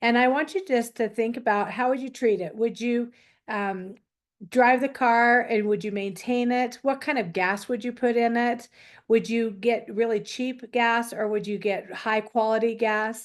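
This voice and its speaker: An ordinary speaking voice from a woman, fairly high in pitch, with fairly even intonation, a moderate pace and a quiet background. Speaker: wellness class instructor. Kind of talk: online class presentation.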